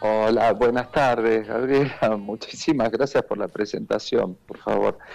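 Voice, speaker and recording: With a medium pitch, the man's voice rises and falls in an ordinary way. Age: 70s. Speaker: war veteran and neurologist. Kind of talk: interview testimony. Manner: hesitant, with many fillers.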